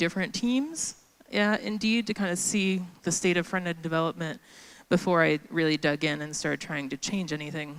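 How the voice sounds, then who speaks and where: A woman speaks with lively intonation at a moderate pace. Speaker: conference speaker. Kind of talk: conference talk. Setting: stage with audience. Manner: loud; casual, filler-heavy.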